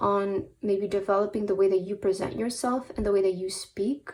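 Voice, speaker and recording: A woman with a non-native accent at a fairly quick pace, medium pitch and fairly even intonation. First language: not English. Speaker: tarot reader. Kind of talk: tarot reading. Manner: frequent fillers (um, uh); hesitant, repeats words.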